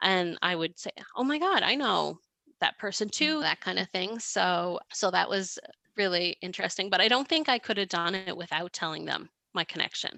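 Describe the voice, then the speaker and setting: Against a quiet background, in a dry, close sound with no echo, a woman speaks at a moderate pace and medium pitch, her tone bright and sharp, her intonation lively, with vocal fry. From Canada, Victoria, British Columbia. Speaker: PhD researcher and transplant caregiver. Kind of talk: podcast interview.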